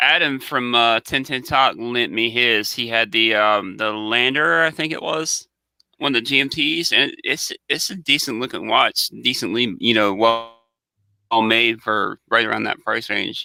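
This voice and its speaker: A man's bright, sharp voice with a Southern US accent, medium pitch, ordinary pitch variation and a fairly slow pace, on a very clean recording with a silent background. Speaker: watch channel co-host. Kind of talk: casual chat. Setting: live stream.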